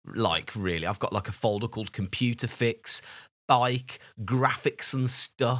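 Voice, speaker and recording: A man speaks in an unremarkable speaking voice at a fairly slow pace with ordinary pitch variation. The recording is very clean, and the background is silent. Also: medium pitch for a man. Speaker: podcast co-host. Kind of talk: casual chat.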